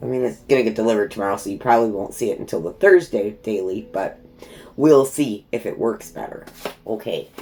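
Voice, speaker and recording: Noticeable background noise sits behind a woman talking at a fairly quick pace. Her intonation is lively. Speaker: tarot reader. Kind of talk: tarot reading. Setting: at home. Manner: not soft-spoken.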